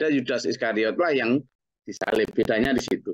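A man at a fairly quick pace, dry sound without echo, quiet background. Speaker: Islamic teacher. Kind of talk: religious study lecture. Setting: group study session. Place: home room. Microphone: webcam.

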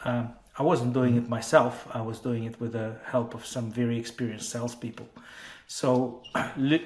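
A man speaks at a moderate pace and medium pitch. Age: 40s. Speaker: tech entrepreneur. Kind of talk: interview. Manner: halting, many fillers. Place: home room. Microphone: earbuds.

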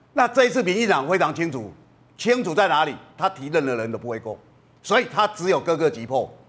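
This high-voiced man talks fairly quickly, his pitch swinging very widely. He takes long, frequent pauses. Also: big swings in loudness. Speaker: political commentator. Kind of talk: TV political talk show panel.

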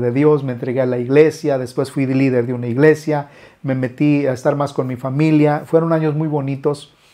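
Speaking at a moderate pace over a quiet background, a man has a dark, mellow tone, fairly high pitch and ordinary pitch variation. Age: 50s. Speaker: musician and YouTuber. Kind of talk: casual vlog monologue. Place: studio. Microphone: lapel.

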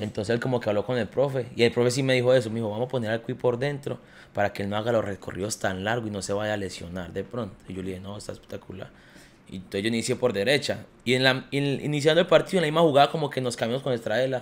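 Speaking at a very fast pace, a man uses a medium pitch with ordinary pitch variation. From Colombia, Quindío (Armenia); Quindío, Colombia. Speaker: professional footballer; podcast guest. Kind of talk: casual chat. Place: home room. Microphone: studio mic.

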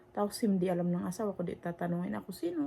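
A woman is speaking. Her pace is very fast. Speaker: vlogger. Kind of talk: casual vlog monologue. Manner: halting.

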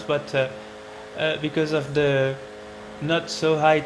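A man speaks in a French accent at a fairly slow pace with fairly even intonation. Noticeable background noise is present. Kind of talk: racing game commentary. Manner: hesitant, many fillers.

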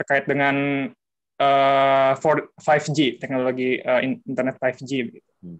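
Against a quiet background, a man speaks at a fairly high pitch and a very slow pace. His loudness swings widely while his pitch varies in an ordinary way. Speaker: physics student. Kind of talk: asking questions. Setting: video call. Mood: polite, tentative. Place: home room. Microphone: video call.

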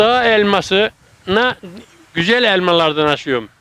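A man's raised, projected voice with a bright, sharp tone at a fairly slow pace, dry and close with no echo. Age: 80s+. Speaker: retiree who grafts fruit trees. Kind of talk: interview answer.

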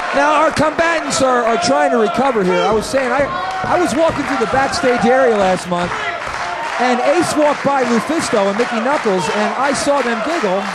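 A man at a moderate pace against loud background noise. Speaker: wrestling commentator. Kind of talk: live wrestling commentary.

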